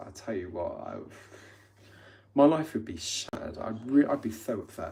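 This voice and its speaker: With an English accent, a man speaks at a moderate pace in a medium pitch, his tone dark and mellow. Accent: English accent, noticed by viewers. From England. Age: 30s. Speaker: livestreamer. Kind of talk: casual livestream chat. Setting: live stream. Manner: chatty, informal.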